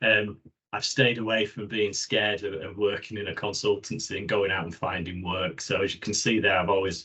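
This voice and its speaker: A man with a Yorkshire accent. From Yorkshire, northern England. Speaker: occupational hygienist, professional body president-elect. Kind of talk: webinar presentation. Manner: hesitant, many fillers.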